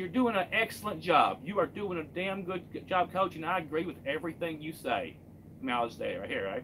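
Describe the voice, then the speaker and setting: A man speaks with a Kentucky accent. His high voice has a bright, sharp tone. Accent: Kentucky Southern US. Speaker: truck driver and live streamer. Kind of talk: casual live stream chat.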